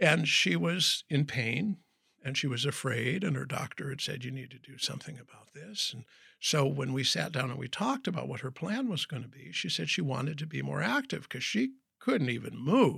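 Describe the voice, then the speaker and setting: A man's medium-pitched voice, bright and sharp in tone, with lively intonation, vocal fry, big swings in loudness and a moderate pace, on a very clean recording with a silent background. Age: 60s. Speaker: professional speaker and wellness coach. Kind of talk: interview.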